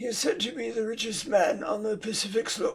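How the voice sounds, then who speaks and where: A man's put-on character voice, high-pitched and raspy, at a fairly quick pace with ordinary pitch variation. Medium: read story. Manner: haughty, condescending.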